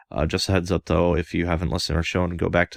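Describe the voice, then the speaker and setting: Recorded with a dry, close sound and no echo, a man speaks with a very deep, low voice and vocal fry. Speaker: podcast host. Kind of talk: podcast ad break. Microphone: new microphone setup.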